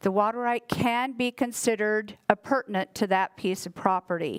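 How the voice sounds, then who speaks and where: A woman with a fairly high pitch talks at a moderate pace with ordinary pitch variation. The recording is very clean and dry, close with no echo, with a silent background. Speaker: water rights agency staff trainer. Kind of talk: training lecture. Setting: training class with mic. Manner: loud.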